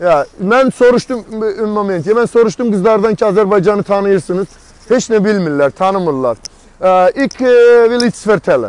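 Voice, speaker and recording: The recording is dry with no echo, and the man's voice sits at a high pitch. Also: ordinary pitch variation, moderate pace. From Azerbaijan. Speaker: political activist and street interviewer; street interviewer. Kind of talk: street interviews and political monologue. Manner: animated. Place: street. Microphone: earbuds.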